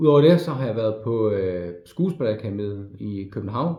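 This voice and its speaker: A man speaks at a fairly slow pace in a somewhat breathy voice, with audible room echo. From Denmark, Frederikshavn (North Jutland). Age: 40s. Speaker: navy veteran applying to media school. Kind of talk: application video monologue. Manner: halting, many fillers and repetitions.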